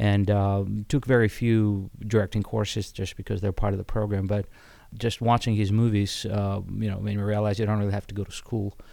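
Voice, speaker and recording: A man with a dark, mellow tone speaks fairly low and at a fairly quick pace in a monotone, flat intonation, on a very clean recording with a silent background. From Ukraine (Odessa). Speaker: theater director and actor. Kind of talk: interview. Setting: theater set.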